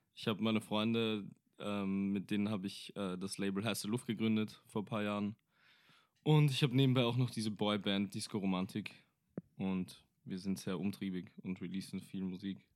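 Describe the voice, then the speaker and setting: A man speaks in an ordinary speaking voice at a fairly low pitch and moderate pace, with fairly even intonation. The recording is very clean, with a silent background. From Austria, Vienna. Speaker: rapper and singer. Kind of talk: casual chat.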